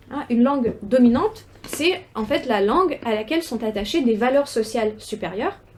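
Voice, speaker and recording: A woman's high-pitched voice carries over noticeable background noise. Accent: Russian. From Ukraine, Russian-speaking city. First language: Russian (speaking French). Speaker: researcher, doctoral student. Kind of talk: academic seminar talk. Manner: halting, many hesitations and repetitions.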